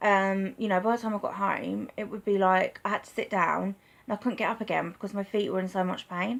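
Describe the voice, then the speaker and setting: The delivery is monotone and flat, at a fairly quick pace. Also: woman, medium pitch for a woman. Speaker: vlogger with chronic illness. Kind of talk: personal vlog testimony. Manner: halting, with stutter; hesitant, many fillers.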